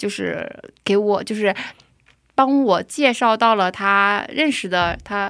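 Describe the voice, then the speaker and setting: At a very slow pace, a woman talks at a medium pitch with ordinary pitch variation. The recording is very clean, with a silent background. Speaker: preschool teacher. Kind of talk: testimony.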